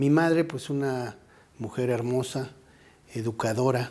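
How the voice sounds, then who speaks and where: The speaker has a central Mexican accent. The delivery is very slow. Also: man. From Mexico City. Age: 60s. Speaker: anthropologist, head of a national heritage institute. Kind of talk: interview.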